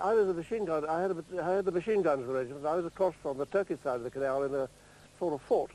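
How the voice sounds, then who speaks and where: A man with a dark, mellow tone talks at a very fast pace with lively intonation, the sound dry with no echo. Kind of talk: interview answer. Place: garden.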